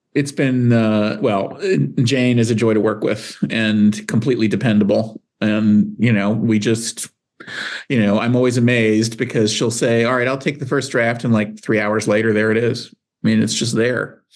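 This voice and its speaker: A man talks at a medium pitch in a monotone, flat intonation. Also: moderate pace. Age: 60s. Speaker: psychology professor. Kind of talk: casual chat. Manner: halting.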